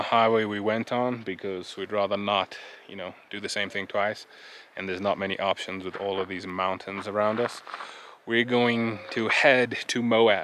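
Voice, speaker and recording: At a fairly slow pace, a man with a fairly low pitch talks in a dry sound with no echo over light background noise. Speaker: travel vlogger. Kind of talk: casual vlog chat. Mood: relaxed, reflective. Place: open country. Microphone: phone near.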